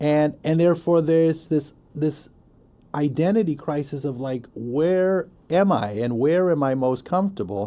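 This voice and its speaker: Speaking in an American accent, a man with a fairly high pitch and a dark, mellow tone keeps a moderate pace and ordinary pitch variation. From Afghanistan (Kabul) then US from a young age. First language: Pashto. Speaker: professor. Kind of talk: podcast interview conversation.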